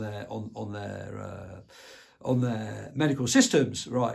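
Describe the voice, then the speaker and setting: This voice belongs to a man. It sounds somewhat breathy. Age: 60s. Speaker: video commentator. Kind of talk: casual monologue. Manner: halting, with repetitions.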